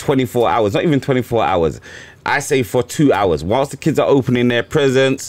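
A man's voice with vocal fry, very even loudness, ordinary pitch variation and a moderate pace. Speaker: podcast host. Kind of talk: casual podcast banter. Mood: relaxed, joking. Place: studio. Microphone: studio mic.

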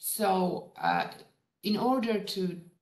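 A woman is speaking. Room echo is audible against a quiet background. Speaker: lecturer. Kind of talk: lecture. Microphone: video call.

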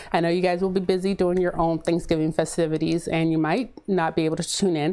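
A woman talks at a fairly quick pace. Her voice sits fairly low and has a dark, mellow tone. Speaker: soap maker. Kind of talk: casual talk to camera. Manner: fast.

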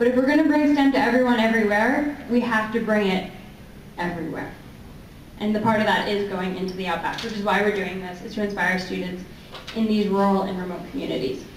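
A woman with an American accent talks at a very fast pace, with light background noise and audible room echo. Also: ordinary pitch variation. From US. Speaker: robotics program manager presenting at a conference; presenter. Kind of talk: presentation. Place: meeting room. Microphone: handheld.

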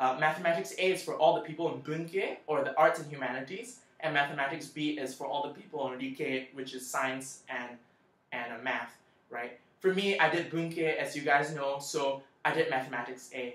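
Audible room echo surrounds a man speaking at a moderate pace. His pitch variation is ordinary. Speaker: scholarship applicant sharing tips on video channel. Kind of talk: tutorial. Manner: casual with frequent fillers. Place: home room. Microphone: webcam.

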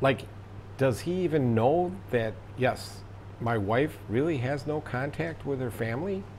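Audible room echo surrounds a man with an American accent who speaks fairly slowly at a medium pitch, somewhat breathy, with lively intonation. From United States. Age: 60s. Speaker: vlogger. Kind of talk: casual monologue.

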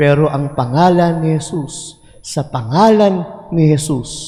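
A man talks at a very slow pace. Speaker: priest. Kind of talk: homily in a Mass. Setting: church with congregation. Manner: animated, conversational; warm, call-and-response with congregation.

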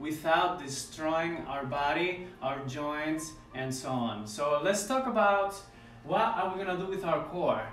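A high-pitched man at a fairly slow pace, with audible room echo and faint music in the background. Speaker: ballet instructor. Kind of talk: tutorial. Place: home room. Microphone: camera far.

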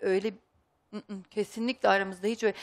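A woman's medium-pitched voice comes through over a quiet background. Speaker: wife of a missing man. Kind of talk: emotional testimony. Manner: halting, uncertain. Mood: worried, earnest. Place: studio.

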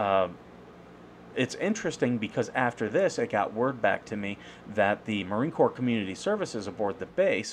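A man talks at a moderate pace. There is light background noise. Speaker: veteran with a service dog. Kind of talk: casual commentary to camera. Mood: aggrieved but calm. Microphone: webcam.

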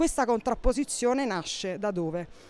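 In a very clean recording with a silent background, a woman speaks at a moderate pace with lively intonation. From Naples, Italy. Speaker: contemporary art professional. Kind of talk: interview explanation. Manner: halting with fillers and repetitions.

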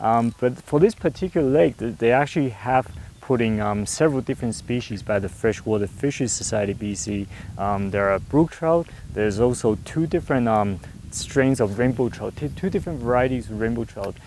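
A man speaks at a moderate pace with lively intonation. The sound is dry with no echo, over light background noise. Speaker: fishing video host. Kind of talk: casual outdoor tutorial chat. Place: waterside. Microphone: lapel.

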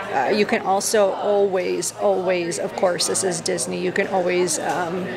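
There is loud background noise. A woman speaks at a moderate pace. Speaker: vlogger. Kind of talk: casual vlog chat. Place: cafe.

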